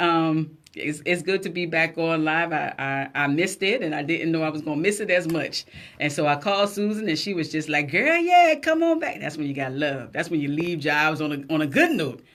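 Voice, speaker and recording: Speaking at a fairly quick pace with hardly any pauses, a woman with a fairly low pitch and a South Carolina Lowcountry accent sounds animated. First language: Gullah. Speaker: radio talk show host. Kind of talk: casual live radio chat. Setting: radio studio, also streamed live.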